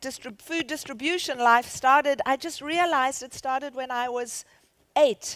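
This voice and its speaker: Her pitch is high, and this woman uses ordinary pitch variation. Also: dry, close sound with no echo. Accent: South African. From South Africa. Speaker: charity founder and CEO. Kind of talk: conference keynote talk. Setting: stage with audience.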